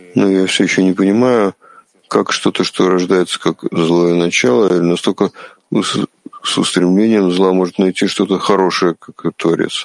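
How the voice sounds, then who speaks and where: A man with a very deep, low pitch speaks at a moderate pace with fairly even intonation. The sound is dry and close with no echo, and the loudness stays very even. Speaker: interpreter of a kabbalah lesson. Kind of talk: religious lesson.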